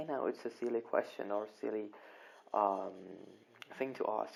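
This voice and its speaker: At a moderate pace, the speaker talks with a Kurdish accent. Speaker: English grammar teacher. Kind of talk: online lesson. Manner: hesitant, many repetitions.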